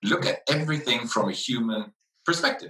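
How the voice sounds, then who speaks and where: A man talks with very wide pitch swings. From Netherlands/Italy. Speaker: brand advisor and CEO. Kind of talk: conference talk. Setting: conference presentation.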